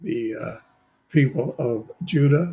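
Here is a man with a fairly high, somewhat breathy voice. His tone is dark and mellow. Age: 80s+. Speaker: bible teacher and translator. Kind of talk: scripture reading with commentary.

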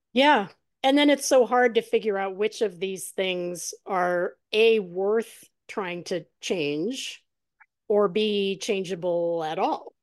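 A woman's medium-pitched voice at a very slow pace, with ordinary pitch variation and a quiet background. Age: 50s. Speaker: podcast host. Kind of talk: casual interview.

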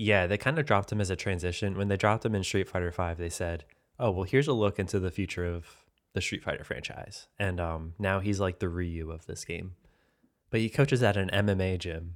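A man's very deep, low voice comes through a very clean recording with a silent background. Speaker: video game podcast co-host. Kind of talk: casual chat.

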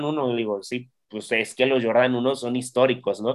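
This man has a plain, everyday voice at medium pitch. He speaks at a moderate pace with fairly even intonation. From Mexico, Xalapa, Veracruz. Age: 30s. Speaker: basketball team press officer. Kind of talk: casual interview.

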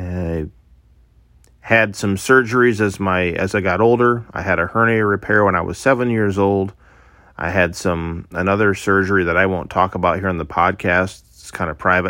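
Here is a man with a Midwestern US accent. His voice is very deep and low, with a bright, sharp tone. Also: fairly even intonation, moderate pace, very clean recording, silent background. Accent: US Midwest. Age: 30s. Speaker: podcaster. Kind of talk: casual monologue; personal testimony.

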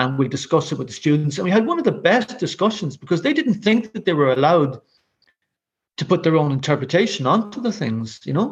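In a Dublin accent, a man speaks high and at a fairly quick pace, his pitch swinging very widely. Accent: Irish (Dublin). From Ireland (Dublin). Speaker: visual artist and curator. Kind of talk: casual interview chat.

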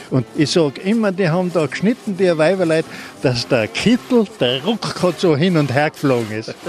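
Over noticeable background noise, a man with a fairly high pitch talks at a moderate pace, his pitch swinging very widely. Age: old. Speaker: retired woodcutter. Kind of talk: interview.

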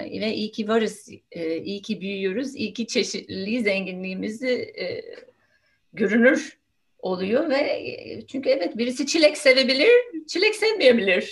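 Speaking at a fairly slow pace, a woman with an English accent has a high-pitched voice, lively intonation and big swings in loudness. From United States. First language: English (speaking Turkish). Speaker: nonviolent communication trainer. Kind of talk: casual interview.

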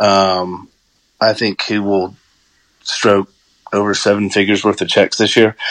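A man with an American accent, fairly low in pitch, at a fairly slow pace with long, frequent pauses. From US South, Georgia. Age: 40s. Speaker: hunter and guest commentator. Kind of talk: casual chat. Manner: animated.

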